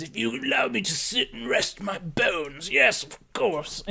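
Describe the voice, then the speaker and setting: A man puts on a character voice. He speaks at a fairly high pitch. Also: moderate pace. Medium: actual play. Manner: slow, frail.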